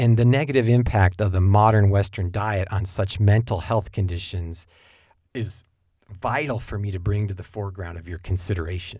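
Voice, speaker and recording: The recording is very clean, with a silent background, as a man talks at a moderate pace in a fairly low pitch. His dark, mellow tone is somewhat breathy, with ordinary pitch variation and big swings in loudness. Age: 50s. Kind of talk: monologue podcast with preaching tone.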